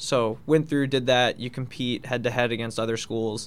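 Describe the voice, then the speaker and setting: Speaking at a moderate pace with a medium pitch, a man with an American accent keeps a monotone, flat intonation. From Long Island, New York. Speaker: college hockey captain. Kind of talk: radio interview.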